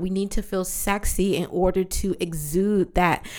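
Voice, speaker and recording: A woman speaks at a fairly slow pace in a medium pitch, her tone animated. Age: 30s. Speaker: podcast host and yoga teacher. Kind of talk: casual solo podcast monologue.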